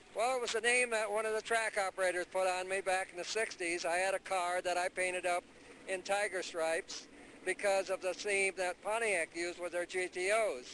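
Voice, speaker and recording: A man's raised, projected voice, high in pitch with fairly even intonation, at a fairly quick pace. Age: 70s. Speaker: drag racer. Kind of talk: interview.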